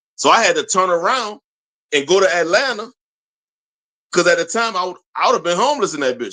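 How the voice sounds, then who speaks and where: Raised and projected, a man's bright, sharp voice rushes at a very fast pace in an American accent, high in pitch with lively intonation. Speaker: podcast host. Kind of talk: casual chat.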